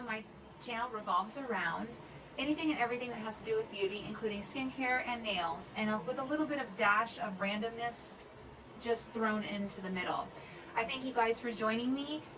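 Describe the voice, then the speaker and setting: A woman with a fairly high voice talks while noticeable noise carries on behind her. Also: ordinary pitch variation. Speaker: makeup artist and beauty vlogger. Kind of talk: makeup tutorial talk to camera.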